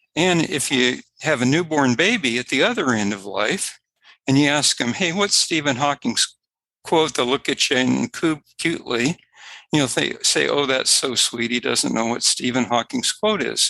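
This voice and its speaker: With vocal fry and a bright, sharp tone, a man speaks at a fairly high pitch using lively intonation. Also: moderate pace. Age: 70s. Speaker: science and faith speaker. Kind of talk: podcast interview. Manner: halting.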